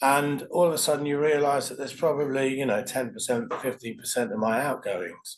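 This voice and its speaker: A man's fairly high pitch with lively intonation at a fairly quick pace. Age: 60s. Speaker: IT professional. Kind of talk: testimonial interview answer. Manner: hesitant, reflective.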